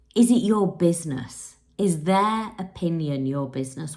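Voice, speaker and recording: Somewhat breathy female voice with an English accent. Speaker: spiritual coach. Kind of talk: casual monologue to camera. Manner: unscripted, conversational.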